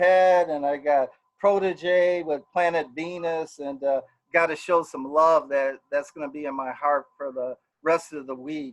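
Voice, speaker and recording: A man with a normal speaking voice and an American accent, fairly high in pitch with ordinary pitch variation, at a fairly slow pace. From Milwaukee, Wisconsin. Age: 60s. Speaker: political candidate. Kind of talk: campaign speech. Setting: live stream.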